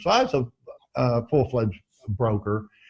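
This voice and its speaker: Against a quiet background, a man speaks at a moderate pace in a medium-pitched, somewhat breathy voice. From Missouri, US Midwest. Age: 70s. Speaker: veteran trader. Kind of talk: interview. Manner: halting.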